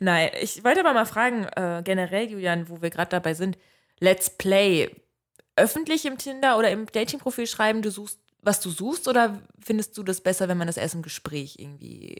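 With lively intonation and a plain, everyday voice, a woman talks at medium pitch and a moderate pace. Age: 20s. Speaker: podcast co-host. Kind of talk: casual chat.

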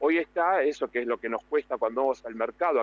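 A man with a Rioplatense accent talks at a fairly high pitch. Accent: Argentine Rioplatense Spanish. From Argentina. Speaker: TV and radio presenter, speaking coach. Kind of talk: radio interview by phone.

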